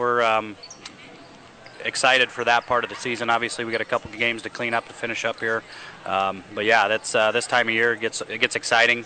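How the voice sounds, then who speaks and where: Over noticeable background noise, a man with an American accent talks very fast at a medium pitch in a monotone, flat intonation. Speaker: girls' high school basketball coach. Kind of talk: pregame interview. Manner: hesitant, frequent ums and uhs.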